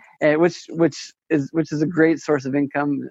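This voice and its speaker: A man with an American accent speaks at a moderate pace. His fairly high voice stays monotone, with flat intonation. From Las Vegas, Nevada. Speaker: attorney and real estate investor. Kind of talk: interview. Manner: halting, many repeated words and fillers.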